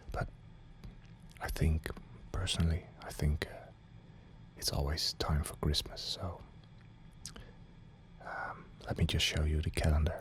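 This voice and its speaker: A man whispers at a fairly slow pace in a calm tone, with long, frequent pauses. His loudness swings widely against noticeable background noise. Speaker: ASMR creator. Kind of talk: ASMR whisper video for sleep. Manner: whispered, calm, slow.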